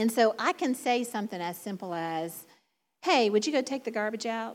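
With a Southern US accent and lively intonation, a woman speaks in a fairly high voice on a very clean recording with a silent background. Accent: Southern drawl. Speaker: preacher. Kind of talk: sermon. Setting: church.

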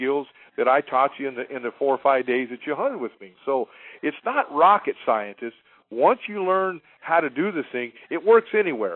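A man speaks in a normal speaking voice at a moderate pace, his intonation lively. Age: 50s. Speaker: hunting guide. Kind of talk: interview.

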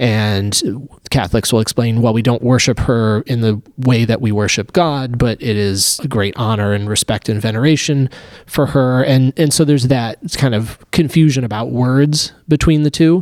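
In a normal speaking voice, a man of medium pitch talks at a moderate pace with ordinary pitch variation and hardly any pauses. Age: 30s. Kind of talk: casual discussion.

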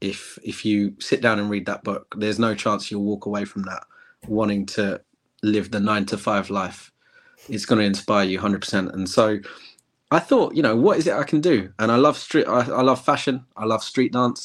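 A man with an English accent, fairly low in pitch, with ordinary pitch variation at a moderate pace, on a very clean recording with a silent background. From England. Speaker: former health service manager. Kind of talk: casual interview chat.

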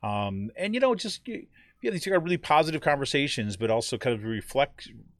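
At a fairly quick pace, a man speaks with very wide pitch swings in a very clean recording with a silent background. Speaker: podcast host and editor of a progressive outlet. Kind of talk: casual political commentary livestream. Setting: live stream. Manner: conversational with frequent fillers.

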